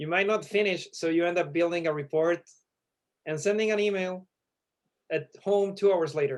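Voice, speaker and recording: Fairly quick speech with a Chilean accent and ordinary pitch variation. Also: man. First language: Spanish. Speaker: startup founder. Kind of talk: elevator pitch.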